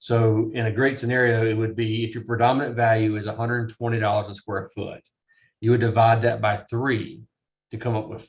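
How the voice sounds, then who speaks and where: A somewhat breathy man at a moderate pace with a monotone, flat intonation. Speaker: real estate appraisal instructor. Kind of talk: lecture.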